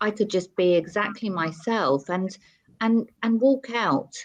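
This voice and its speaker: A woman talks with lively intonation in an ordinary speaking voice. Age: 50s. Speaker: TV presenter and model. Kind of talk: interview.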